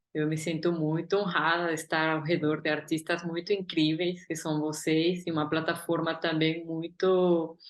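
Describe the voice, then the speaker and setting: A woman talks in a monotone, flat intonation at a fairly low pitch. She hardly pauses. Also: moderate pace. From Guatemala. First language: Spanish (speaking Portuguese). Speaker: artist and curator. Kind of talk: interview.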